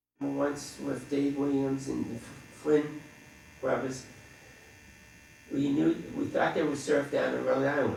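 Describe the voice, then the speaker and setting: Speaking at a fairly slow pace with an American accent, a man uses a fairly high pitch, with noticeable background noise and audible room echo around him. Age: 60s. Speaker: dentist and veteran surfer. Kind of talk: interview reminiscence. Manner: casual with frequent fillers.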